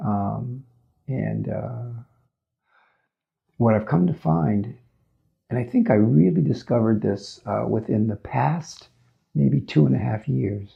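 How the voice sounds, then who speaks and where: Speaking at a very slow pace with long, frequent pauses, a man with a fairly low pitch and vocal fry makes very wide pitch swings. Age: 60s. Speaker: mental health counselor. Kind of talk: personal testimony. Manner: hesitant, many fillers.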